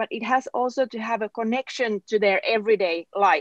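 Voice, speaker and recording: The speaker has a Finnish accent and talks at a moderate pace, with a dry, close sound and no echo. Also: woman. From southern Finland. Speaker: politician. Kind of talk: panel discussion. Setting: webinar. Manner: halting, many fillers.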